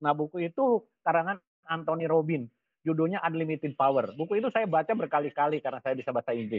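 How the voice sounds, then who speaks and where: With a West Javanese accent, a man at a fairly high pitch talks at a very fast pace with lively intonation. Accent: Sundanese. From West Java, Indonesia (Ciamis). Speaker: business coach. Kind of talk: webinar talk. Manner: casual, conversational.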